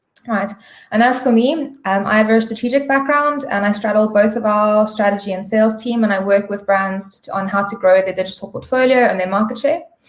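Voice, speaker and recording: A woman with a plain, everyday voice speaks at a fairly quick pace, fairly high in pitch, with ordinary pitch variation. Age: 30s. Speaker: digital media sales strategist. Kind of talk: webinar presentation.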